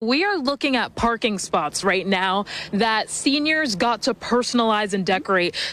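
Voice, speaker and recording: This woman has a normal speaking voice with a fairly high pitch and lively intonation. She talks at a moderate pace with very even loudness. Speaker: TV news anchor and multimedia journalist. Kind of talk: playful on-location reporting. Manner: upbeat, playful.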